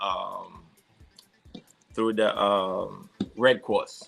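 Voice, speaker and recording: A man speaks with a strong Haitian accent. His pitch sits fairly low. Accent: heavy Haitian. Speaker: security consultant and firearms instructor. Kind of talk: podcast interview. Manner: halting, many fillers.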